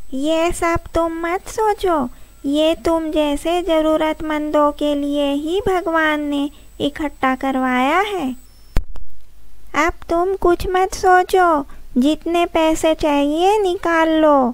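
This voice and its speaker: A woman's cartoonish character voice, extremely high in pitch, at a very slow pace. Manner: friendly, helpful.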